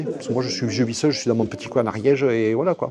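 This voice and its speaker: A man's medium-pitched voice with ordinary pitch variation, at a very fast pace. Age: 60s. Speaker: sculptor. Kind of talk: casual interview. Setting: art exhibition venue. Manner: halting, many fillers and repetitions.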